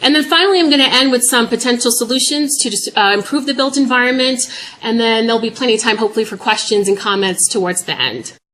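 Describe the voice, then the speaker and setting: The speaker talks at a very fast pace. Pitch varies in an ordinary way. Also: woman, high pitch for a woman. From New York. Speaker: public health professor. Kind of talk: lecture.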